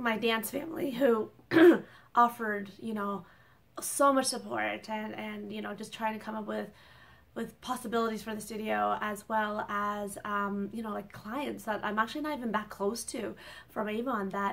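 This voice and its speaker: A woman speaks at a moderate pace with ordinary pitch variation. Her loudness swings widely. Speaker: small business owner vlogger. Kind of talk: casual vlog chat. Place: home room. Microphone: phone near.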